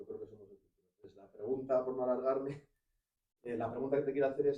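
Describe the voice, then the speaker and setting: A man is speaking. His pace is very fast. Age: 50s. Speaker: audience member. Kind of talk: public Q&A at talk. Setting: live event in a venue.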